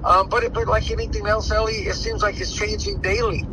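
A man talks at a fairly quick pace. The sound is dry with no echo, but there is noticeable background noise. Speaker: boxing trainer. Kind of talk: interview. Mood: relaxed, animated. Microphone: phone near.

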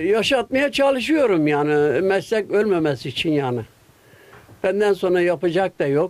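A man speaks with a high pitch and very wide pitch swings at a fairly slow pace. His loudness stays very even. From Gaziantep, Turkey. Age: 80s+. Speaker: kilim weaver. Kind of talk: interview answer. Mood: earnest, concerned for craft. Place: workshop. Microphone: handheld.

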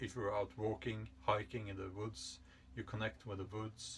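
At a fairly slow pace, a man speaks with a fairly low pitch and a fairly bright tone.

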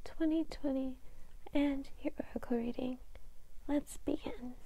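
A woman speaks in a high pitch. Her pace is fairly slow. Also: dry sound with no echo. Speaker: ASMR creator. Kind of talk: ASMR horoscope reading. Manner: whispered, soft. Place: home room. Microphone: lapel.

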